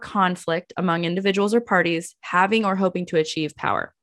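Fairly quick and fairly low in pitch, a woman speaks in an unremarkable speaking voice with fairly even intonation. The sound is dry and close with no echo, in a very clean recording with a silent background. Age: 30s. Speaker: podcast host. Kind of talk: casual interview.

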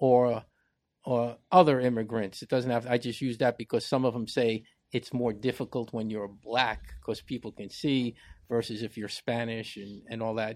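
A man with an American accent speaks at a moderate pace in a medium pitch and a flat monotone, recorded very cleanly against a silent background. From US Northeast, New York (Bronx). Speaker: podcast co-host. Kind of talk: casual debate.

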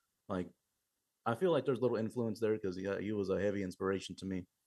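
Fairly even intonation runs through a man's dark, mellow voice. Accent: Texan. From Eagle Lake, Texas. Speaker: metal drummer. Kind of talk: interview.

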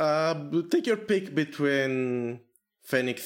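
Speaking at a very slow pace, a man talks with a non-native accent. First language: not English. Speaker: podcast host. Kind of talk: casual chat.

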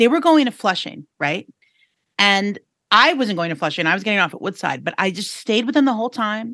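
This woman has an American accent and a medium pitch, and her voice swings very widely in pitch. Her tone is bright and sharp, and she talks at a fairly quick pace. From New York City. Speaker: podcast co-host, reporter. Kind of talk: casual chat. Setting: studio.

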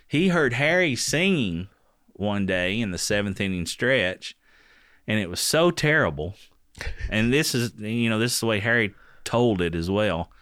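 In a very clean recording with a silent background, a man with a fairly low pitch and very wide pitch swings speaks at a moderate pace, with long, frequent pauses. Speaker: voiceover artist and comedian. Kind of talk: casual chat. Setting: in-person studio. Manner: animated, humorous, does play-by-play impressions.

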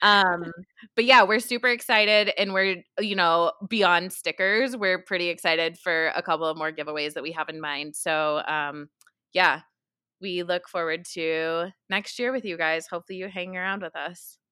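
In a very clean recording with a silent background, a woman with a fairly low, bright, sharp voice and an American accent speaks at a moderate pace with ordinary pitch variation. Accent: New York, shifting toward West Coast. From New York. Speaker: podcast co-host. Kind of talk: casual chat. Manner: chatty, laughs often.

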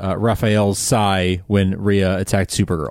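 A man speaks in an ordinary speaking voice. His pitch is fairly low and his pace moderate. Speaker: podcast host. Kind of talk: casual chat. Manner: friendly, conversational.

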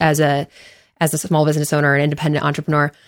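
Recorded very cleanly over a silent background, a woman speaks with a very deep, low pitch. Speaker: team member, director of member success. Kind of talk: casual chat. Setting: studio.

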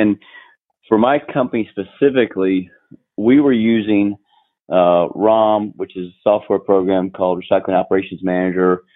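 A man with an American accent has an ordinary speaking voice at a fairly low pitch. He keeps a moderate pace and ordinary pitch variation. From North Carolina. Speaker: retired business owner, former Marine. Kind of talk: interview.

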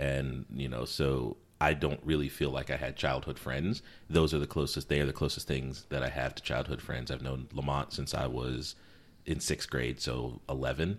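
With vocal fry, a man speaks at a very deep, low pitch. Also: fairly even intonation, moderate pace. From US East Coast (Connecticut, also US South). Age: 40s. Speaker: podcast co-host. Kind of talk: casual chat.

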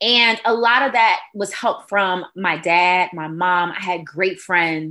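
In an American accent with a bright, sharp tone, the speaker goes at a very slow pace with hardly any pauses. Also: woman, medium pitch for a woman, ordinary pitch variation. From Detroit, Michigan. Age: 30s. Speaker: radio host and breast cancer survivor. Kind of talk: interview testimony.

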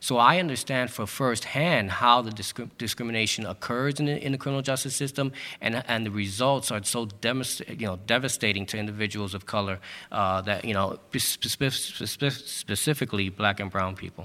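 An ordinary speaking voice with an American accent moves at a fairly quick pace with ordinary pitch variation, captured in a very clean recording over a silent background. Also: man, medium pitch for a man. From New York City, East New York, Brooklyn. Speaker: district attorney candidate, prosecutor. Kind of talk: candidate debate. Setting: event hall with audience.

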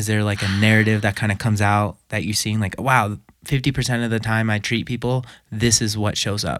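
With a normal speaking voice, a man talks fairly quickly and fairly low in pitch. His intonation is fairly even, and the recording is very clean with a silent background. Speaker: podcast host. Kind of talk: interview, casual chat.

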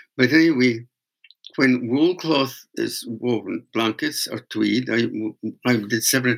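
A man speaks with a northeast Scottish accent. His voice is medium in pitch, with ordinary pitch variation. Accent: Scottish, Doric (northeast Scots). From Scotland, Aberdeenshire. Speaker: master weaver and folk singer. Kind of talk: storytelling interview. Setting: remote call. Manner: animated storyteller.

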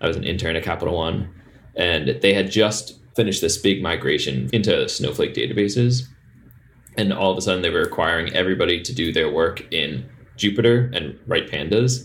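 A man with a fairly low pitch speaks at a fairly quick pace. His voice is somewhat breathy, with lively intonation. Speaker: startup founder. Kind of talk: casual interview.

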